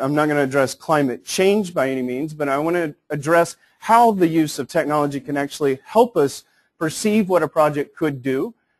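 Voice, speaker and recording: A plain, everyday voice from a man, fairly high in pitch. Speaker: technical specialist presenting on building information modeling. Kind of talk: conference presentation.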